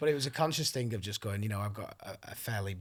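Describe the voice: In a very clean recording with a silent background, a man talks at a very fast pace, somewhat breathy and with lively intonation. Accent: northern English.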